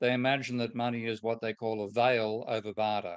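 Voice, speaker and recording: With an Australian accent, a man speaks at a fairly quick pace against a quiet background. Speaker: economist. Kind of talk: lecture.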